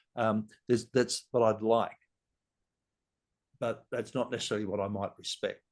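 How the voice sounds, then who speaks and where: A man with an Australian accent speaks at a moderate pace and medium pitch, his intonation monotone and flat, with long, frequent pauses. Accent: Australian, noticeable. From Sydney, Australia. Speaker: leadership guest. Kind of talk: podcast conversation. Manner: halting, many restarts.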